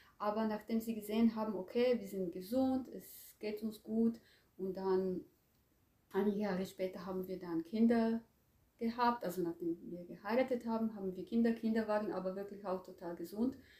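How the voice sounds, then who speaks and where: A woman with a Croatian accent speaks in a dark, mellow, somewhat breathy tone at a medium pitch, with ordinary pitch variation and a moderate pace. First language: Croatian (speaking German). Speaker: language teacher. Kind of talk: interview. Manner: hesitant, with fillers.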